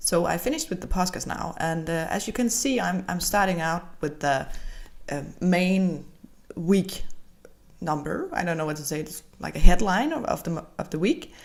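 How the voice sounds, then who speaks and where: With a Danish accent, a woman with a fairly low pitch talks at a moderate pace and ordinary pitch variation. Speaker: bullet journal vlogger. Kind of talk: voiceover tutorial. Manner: halting.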